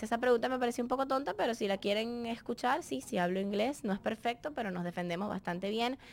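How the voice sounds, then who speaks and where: A woman talks at a very fast pace, hardly pausing, her pitch fairly high. Her intonation is lively and her loudness swings widely. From Venezuela, Barquisimeto. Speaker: dancer, model and TV presenter. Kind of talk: casual Q&A monologue.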